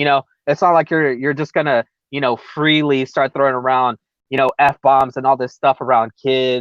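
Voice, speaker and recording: In a Californian accent, a man speaks at a moderate pace. His pitch is medium and his intonation monotone and flat. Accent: recognizably Californian. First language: Spanish. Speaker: MMA podcast co-host. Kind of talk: casual chat. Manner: halting.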